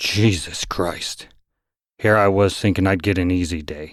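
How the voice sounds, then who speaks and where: A man puts on a character voice that is gruff, growling and rumbling, very deep and low in pitch, with fairly even intonation at a moderate pace, on a very clean recording with a silent background. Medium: read story. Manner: gruff, grumbling.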